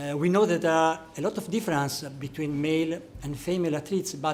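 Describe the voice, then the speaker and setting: In an Italian accent, a man speaks at a high pitch with ordinary pitch variation. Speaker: sports physician. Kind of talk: panel discussion. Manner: halting.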